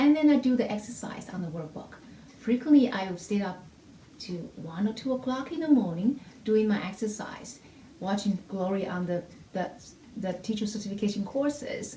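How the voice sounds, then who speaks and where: Over noticeable background noise, a woman with a non-native accent speaks at a moderate pace and fairly high pitch, her intonation lively. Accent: heavy non-native. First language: not English (English is her third language). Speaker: music theory teacher. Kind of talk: testimony. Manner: halting, with repetitions and fillers.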